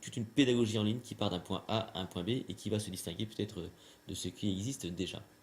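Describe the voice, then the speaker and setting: At a very fast pace, a man talks in a somewhat breathy voice with fairly low pitch and fairly even intonation. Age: 40s. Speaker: magician and trainer. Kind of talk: interview. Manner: hesitant, many fillers.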